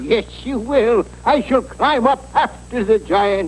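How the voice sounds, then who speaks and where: Over clear background noise, a man does a cartoonish character voice at a fairly slow pace. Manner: formal, self-assured.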